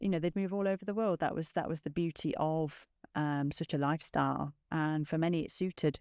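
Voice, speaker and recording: Speaking with an East Midlands accent, a woman uses a very deep, low pitch with ordinary pitch variation. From England, Nottingham (East Midlands). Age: 40s. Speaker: podcast host. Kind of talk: personal testimony. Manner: hesitant, with fillers.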